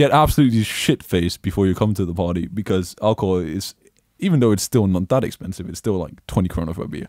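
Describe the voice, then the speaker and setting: With a very deep, low pitch and lively intonation, a man talks at a very fast pace on a very clean recording with a silent background. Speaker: podcast co-host. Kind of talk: casual chat. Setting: live stream. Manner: animated.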